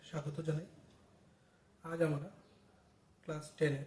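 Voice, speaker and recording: The speaker is a man with a fairly high voice. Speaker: maths teacher. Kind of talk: maths lesson explanation.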